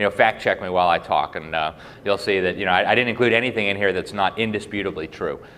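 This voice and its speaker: A man at a very fast pace. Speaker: journalist and public speaker. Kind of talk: speech to a live audience.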